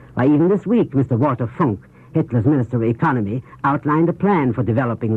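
Lively intonation marks the man's speech. He talks very fast. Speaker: foreign correspondent and news commentator. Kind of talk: 1930s radio news commentary. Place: studio. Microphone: old recording.

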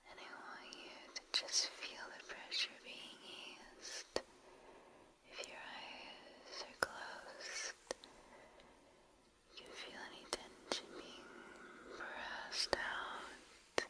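Soft-spoken and whispering, a woman uses a soothing tone with long, frequent pauses amid noticeable background noise. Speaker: relaxation content creator. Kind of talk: soft guided relaxation talk. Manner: soft, slow, soothing near-whisper. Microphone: studio mic.

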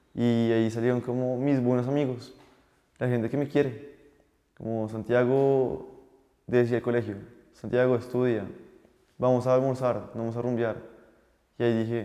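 Against a quiet background, a man with a dark, mellow tone speaks at a fairly slow pace in a monotone, flat delivery, leaving long, frequent pauses. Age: 20s. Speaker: young entrepreneur and chef; guest. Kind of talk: interview testimony. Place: studio. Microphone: lapel.

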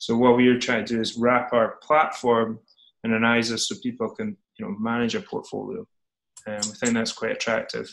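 A man talks at a fairly quick pace in a Scottish accent. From Scotland. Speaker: startup CEO. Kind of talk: interview. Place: home room. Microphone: video call.

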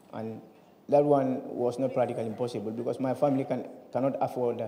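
Audible room echo surrounds a man with a dark, mellow tone. His intonation is monotone and flat. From Gambia. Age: 20s. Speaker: migrant and torture survivor. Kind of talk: testimony. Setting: stage with audience. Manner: halting. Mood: solemn, recounting hardship. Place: hall. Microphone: handheld.

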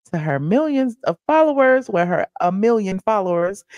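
A woman talks at a moderate pace with lively intonation, her dry sound free of echo against a quiet background. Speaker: livestream host. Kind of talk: commentary. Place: studio. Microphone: studio mic.

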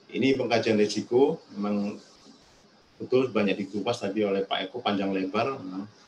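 Over noticeable background noise, a man with a fairly low pitch speaks at a moderate pace and a fairly even intonation. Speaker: disaster management official. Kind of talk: webinar presentation. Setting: video call.

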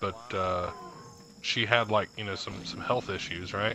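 There is noticeable background noise. Over it, a man talks at a fairly slow pace. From North Carolina (from age 8), born in West Virginia. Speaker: podcast co-host, gamer. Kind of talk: casual chat.

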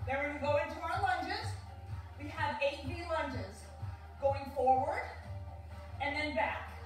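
The recording has audible room echo, with faint music playing in the background. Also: woman, moderate pace. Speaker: fitness instructor. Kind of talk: workout instruction. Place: home room. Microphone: camera far.

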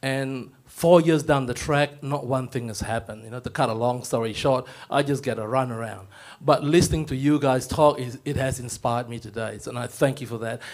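Against a quiet background, a man talks at a fairly quick pace with fairly even intonation and big swings in loudness. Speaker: training provider; audience member. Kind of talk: audience question. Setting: stage with audience. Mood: earnest, slightly frustrated. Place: hall. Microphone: handheld.

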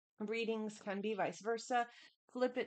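A woman at a moderate pace, fairly even intonation, quiet background. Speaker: tarot reader. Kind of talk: casual vlog chat. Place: home room.

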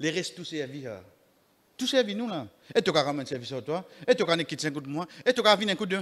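Very fast and high-pitched, this man's speech has very wide pitch swings. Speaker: imam giving Friday sermon. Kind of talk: Friday sermon (khutbah) mixing French, Creole and Arabic. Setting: mosque. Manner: earnest, exhortative, preacherly; rhetorical questions addressing the congregation. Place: church. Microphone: podium.

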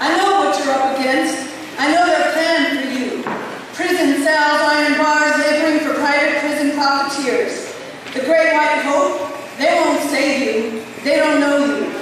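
Heard through strong room echo and noticeable background noise, a woman with a high pitch speaks at a fairly slow pace with fairly even intonation. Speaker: poet and teacher. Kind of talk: spoken word poetry, delivered as a passionate, direct address to her students. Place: hall.

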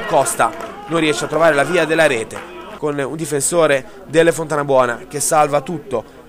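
A man is speaking. Crowd noise can be heard in the background. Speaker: sports commentator. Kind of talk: live-style sports commentary voiceover over match highlights. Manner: fast, rattling off play-by-play in a brisk, even, reporter-like tone.

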